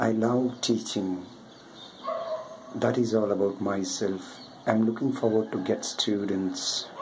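A man at a fairly slow pace with fairly even intonation, against noticeable background noise. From South India. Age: 40s. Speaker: online math tutor. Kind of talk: self-introduction video. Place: home room. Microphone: webcam.

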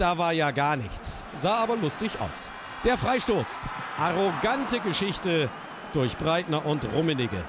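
Over noticeable background noise, a man with a high voice speaks at a fairly slow pace in a dramatic tone, his pitch swinging very widely while his loudness stays very even. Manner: rising excitement as the match turns dramatic.

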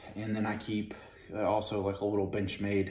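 With a fairly low pitch and a somewhat breathy voice, a man speaks at a fairly quick pace amid light background noise and audible room echo. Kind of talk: tutorial. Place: home room. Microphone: camera far.

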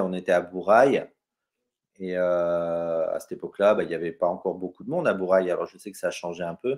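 Here a man speaks at a moderate pace. His pitch is very deep and low. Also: quiet background. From Brittany, France. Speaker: travel photographer, former navy sailor; guest. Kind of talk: interview on a live stream. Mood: calm, reflective storytelling. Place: home room. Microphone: webcam.

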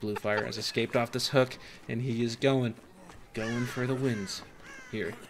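At a moderate pace and medium pitch, a man talks with long, frequent pauses against noticeable background noise. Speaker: gaming youtuber. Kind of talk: mock esports commentary. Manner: animated.

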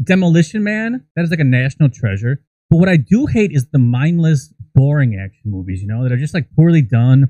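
At a fairly quick pace, a man speaks with lively intonation, a fairly high pitch and a dark, mellow tone, in a dry, close sound with no echo.

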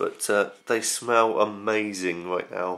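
A man speaks with a British accent. His voice sits fairly low, with fairly even intonation. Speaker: vlogger. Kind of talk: casual vlog. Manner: rambling, hesitant.

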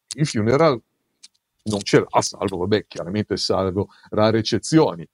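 Lively intonation marks this man's medium-pitched voice at a fairly slow pace. The sound is dry and close, without any echo. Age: 60s. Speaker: music writer and author. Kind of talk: casual chat. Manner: halting.

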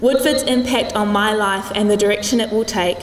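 A woman at a moderate pace with ordinary pitch variation, light background noise, and audible room echo. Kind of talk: formal prepared speech. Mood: warm, lightly humorous, sentimental. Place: gym. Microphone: podium.

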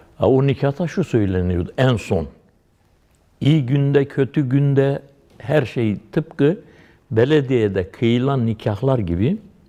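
Over a quiet background, a man speaks very slowly at a medium pitch with lively intonation. His tone is dark and mellow, and his loudness stays very even. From Dersim, eastern Turkey. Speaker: Alevi pir, religious leader. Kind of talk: lecture-style religious explanation with personal anecdotes.

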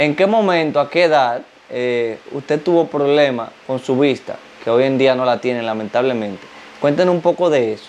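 Over light background noise, a man with a fairly high pitch talks at a moderate pace with ordinary pitch variation. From Dominican Republic. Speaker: YouTube interviewer. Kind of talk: interview. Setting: guest's home. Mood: calm, respectful. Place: home room. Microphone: lapel.

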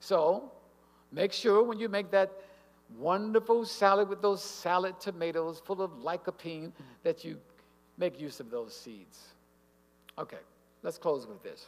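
With an animated tone and lively intonation, a man with a high voice for a man talks at a fairly slow pace, his loudness swinging widely across long, frequent pauses. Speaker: health speaker at church; speaker. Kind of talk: health lecture. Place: hall. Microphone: podium.

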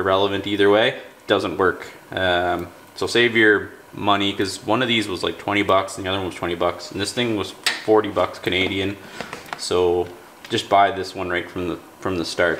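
A man speaks at a moderate pace with a fairly low pitch and monotone, flat intonation. There is light background noise behind him. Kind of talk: tutorial. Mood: relaxed, mildly frustrated. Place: garage.

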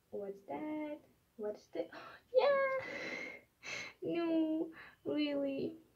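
Against a quiet background, the speech moves at a very slow pace with long, frequent pauses. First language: not English. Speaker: collector unboxing mail. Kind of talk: casual unboxing talk to camera. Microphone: phone near.

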